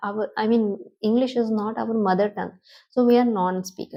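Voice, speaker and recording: In an Indian accent, a woman speaks with a fairly high pitch. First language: Hindi. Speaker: English teacher on video channel. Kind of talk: tutorial. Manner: halting.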